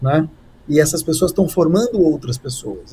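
His voice pitched high, a man talks with ordinary pitch variation. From Brazil. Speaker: communication strategist and speaker. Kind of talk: live-streamed interview.

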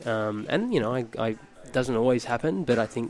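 Talking fairly quickly with an Australian accent, a man speaks at a medium pitch against noticeable background noise. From Australia, Phillip Island, Victoria. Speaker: model and former school teacher. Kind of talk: casual chat.

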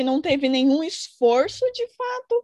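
Her pitch is high and swings very widely. The woman's voice sounds dry and close, without echo. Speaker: podcast co-host. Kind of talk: casual chat.

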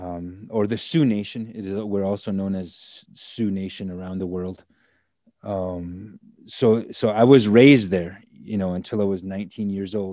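A man with an American accent uses a plain, everyday voice, fairly low in pitch and fairly even in intonation, at a fairly slow pace over a quiet background. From US Midwest, Standing Rock Reservation, South Dakota/North Dakota. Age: 40s. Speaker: attorney and activist. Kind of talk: interview.

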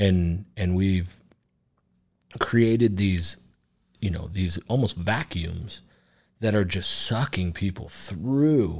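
A man with an American accent talks at a very slow pace with long, frequent pauses. His voice is fairly low, with ordinary pitch variation. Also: very clean recording, silent background. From Reno, Nevada. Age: 30s. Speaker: bar owner. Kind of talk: casual chat.

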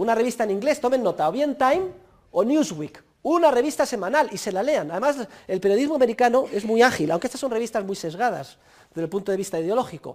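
Very fast speech with very wide swings in pitch. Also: man. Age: 50s. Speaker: university professor. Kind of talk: lecture.

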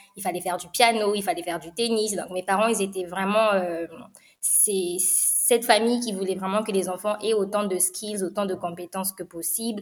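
A woman's normal speaking voice at a medium pitch, fairly even in intonation, at a moderate pace. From Republic of the Congo (Brazzaville). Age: 20s. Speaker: startup studio co-founder. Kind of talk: interview.

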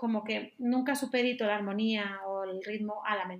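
With a plain, everyday voice, a woman speaks at a moderate pace in a fairly high pitch and fairly even intonation. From Galicia, Spain. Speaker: jazz flautist. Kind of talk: casual interview.

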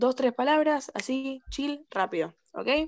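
A woman speaks with a Rioplatense accent. Her pace is very slow. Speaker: podcast host, cosmetology student. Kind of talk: casual chat.

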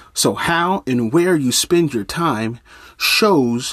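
The man's tone is animated. Lively intonation runs through his speech. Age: 30s. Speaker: life coach and minister hosting a motivational podcast. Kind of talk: motivational monologue. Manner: repeats words when thinking.

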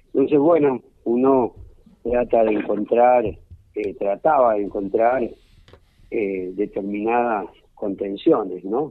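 A man talks very slowly, his pitch rising and falling in an ordinary way. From Argentina, Córdoba province. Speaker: war veteran and pediatrician. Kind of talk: interview.

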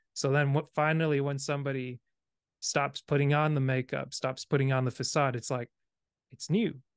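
Against a quiet background, a man with a plain, everyday voice speaks at a moderate pace and fairly high pitch, with fairly even intonation and a dry, close sound with no echo. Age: 30s. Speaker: podcast host. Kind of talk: casual interview conversation.

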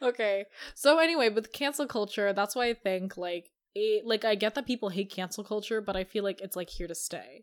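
The pitch varies in an ordinary way, and the recording is very clean with a silent background. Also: woman, fairly high pitch for a woman. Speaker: podcast host. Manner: fast talker; racing, excitable delivery.

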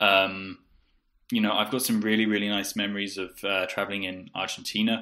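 With a southern English accent, a man speaks fairly quickly in a fairly low, bright, sharp voice with monotone, flat intonation, on a very clean recording with a silent background. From southeast England. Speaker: podcast co-host, English teacher. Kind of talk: casual chat.

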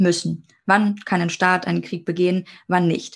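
A woman with an ordinary speaking voice at medium pitch talks at a moderate pace over a quiet background. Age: 20s. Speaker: international law student. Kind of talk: educational podcast conversation.

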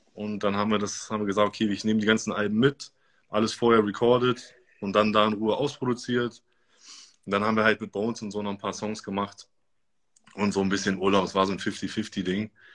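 A man talks at a fairly quick clip with a fairly low pitch and a flat, monotone delivery. Long pauses break up his speech often. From Germany, Göttingen. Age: 30s. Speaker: DJ and music producer. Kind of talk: interview.

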